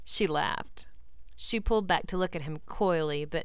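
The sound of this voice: This is an unforced reading voice. It reads aloud.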